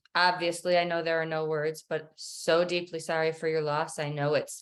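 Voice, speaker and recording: A woman speaks with an American accent in a very deep, low voice. Her intonation is monotone and flat, on a very clean recording with a silent background. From Michigan. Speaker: podcast host. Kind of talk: interview. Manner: hesitant, stuttering.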